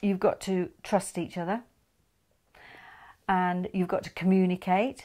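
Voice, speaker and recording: On a very clean recording with a silent background, a woman with a Yorkshire accent speaks at medium pitch in a dark, mellow tone. Her delivery is monotone and flat, fairly slow, with long, frequent pauses. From northern England, Yorkshire (Huddersfield). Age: 70s. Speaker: interviewee, married woman. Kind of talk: casual interview chat.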